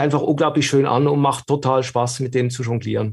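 A somewhat breathy man with a slight Swiss German accent. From Switzerland. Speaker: video studio consultant and filmmaker. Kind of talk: casual interview. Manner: halting, repeats words.

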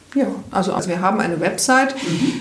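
A woman's medium-pitched voice with ordinary pitch variation, noticeable background noise and audible room echo. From Rhineland, Germany. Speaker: health coach and coach trainer. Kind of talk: interview.

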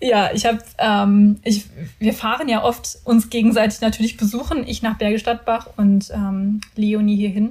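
Speaking at a fairly slow pace, a woman has a fairly high, somewhat breathy voice with a dark, mellow tone and fairly even intonation. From Ruhr area, Germany (Mülheim an der Ruhr). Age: 30s. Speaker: podcast co-host, personal branding mentor. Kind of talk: casual chat. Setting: home bedroom recording.

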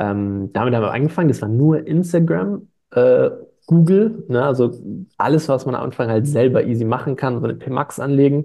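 Pitched in the medium range, a man talks at a fairly quick pace with lively intonation. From Stuttgart, Swabia, Germany. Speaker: online shop founder. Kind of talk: casual interview. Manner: hesitant, many fillers.

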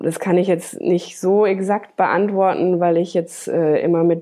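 At a very slow pace, a woman speaks in a fairly low pitch with monotone, flat intonation. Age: 30s. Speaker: graphic designer and children's art teacher. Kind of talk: interview. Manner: hesitant with fillers.

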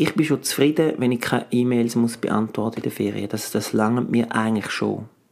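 With noticeable background noise, a man talks at a fairly quick pace with hardly any pauses. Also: medium pitch for a man, ordinary pitch variation. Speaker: actor and coach, podcast co-host. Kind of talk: casual chat.

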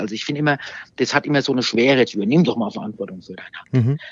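Speaking very fast, a man keeps a medium pitch. His intonation is lively. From Germany, Aschaffenburg (Lower Franconia). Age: 50s. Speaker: social welfare manager. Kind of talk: casual interview. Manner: halting, many fillers and repetitions.

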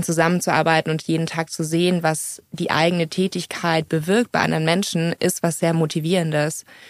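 With a monotone, flat intonation, the woman talks in a rather low register. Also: hardly any pauses, very even loudness. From Munich, Bavaria. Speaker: social entrepreneur. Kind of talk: interview. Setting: studio.

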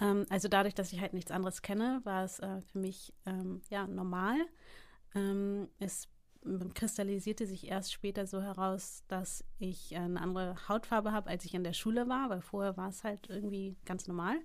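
A woman with a normal speaking voice talks at a moderate pace and medium pitch with fairly even intonation, in a very clean recording with a silent background. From Hamburg, northern Germany. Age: 30s. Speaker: entrepreneur. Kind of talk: interview.

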